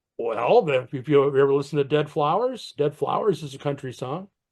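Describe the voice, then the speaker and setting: Over a quiet background, a man with an unremarkable speaking voice and a fairly high pitch talks at a fairly quick pace. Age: 60s. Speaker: podcast co-host. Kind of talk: casual chat.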